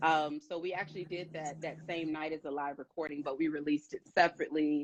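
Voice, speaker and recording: With an American accent, a woman speaks at a very fast pace in a very deep, low, monotone voice, the sound dry and close with no echo. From US Midwest, East St. Louis, Illinois. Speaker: gospel singer. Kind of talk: interview.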